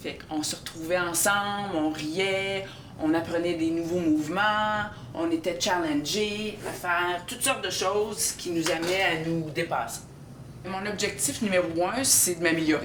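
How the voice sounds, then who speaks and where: A woman talks at a fairly slow pace with a fairly low pitch and ordinary pitch variation. The room echo is audible, and there is noticeable background noise. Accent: Quebec. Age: 60s. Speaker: CrossFit athlete. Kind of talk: documentary interview. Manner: hesitant, many fillers.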